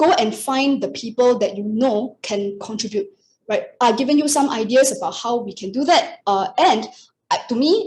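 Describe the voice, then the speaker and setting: Here a woman speaks at a high pitch. Her voice moves in very wide pitch swings. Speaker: astrologer. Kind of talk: webinar presentation. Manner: fast.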